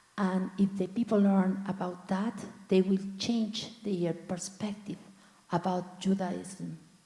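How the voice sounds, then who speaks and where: The speaker talks at a very slow pace with monotone, flat intonation over noticeable background noise. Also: woman, medium pitch for a woman. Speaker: congregant. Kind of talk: group discussion comment. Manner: halting.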